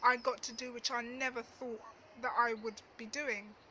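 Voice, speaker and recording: Over noticeable background noise, a woman projects a raised, high-pitched voice at a fairly slow pace. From East London (Dagenham), England. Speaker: travel vlogger. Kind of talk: storytime monologue. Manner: casual, hesitant with fillers.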